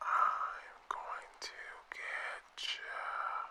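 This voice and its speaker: Light background noise sits behind a raspy, put-on character voice. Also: man, extremely high pitch for a man. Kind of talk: prank sound effect. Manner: creepy, menacing.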